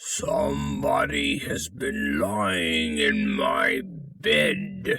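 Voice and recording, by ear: A man puts on a character voice that is gruff and raspy, with a very deep, low pitch. He speaks at a very slow pace.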